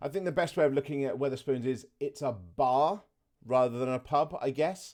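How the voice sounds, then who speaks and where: Speaking at a moderate pace, a man with a southern English accent has a dark, mellow tone. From southeast England. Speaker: gaming reaction youtuber. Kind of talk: casual gameplay commentary.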